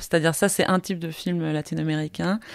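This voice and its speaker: Here a woman is heard in a very clean recording against a silent background. The sound is dry and close, with no echo. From Costa Rica. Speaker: film director. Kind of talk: interview. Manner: halting.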